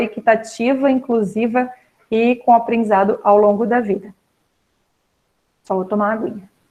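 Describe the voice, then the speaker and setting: A woman speaks at a moderate pace with a plain, everyday voice. Her pitch is fairly high and varies in an ordinary way. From Florianópolis, Santa Catarina, Brazil. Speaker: pedagogue, special education specialist. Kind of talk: online talk to students.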